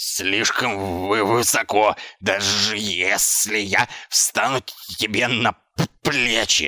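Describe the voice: In a put-on character voice, a man speaks slowly with a fairly low pitch, a bright, sharp tone, and fairly even intonation.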